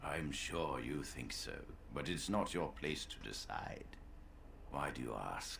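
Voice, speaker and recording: In a put-on character voice, the speaker goes at a fairly slow pace with long, frequent pauses amid clear background noise. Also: man. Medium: video game. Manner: measured, formal.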